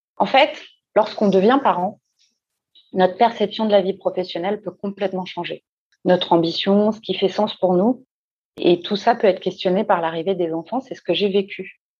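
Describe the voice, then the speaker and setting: A woman at medium pitch, with fairly even intonation and long, frequent pauses. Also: moderate pace. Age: 40s. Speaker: career coach. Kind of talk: interview.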